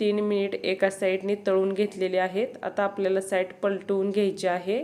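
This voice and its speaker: A woman speaks with a medium pitch. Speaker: cooking channel host. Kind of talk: cooking tutorial.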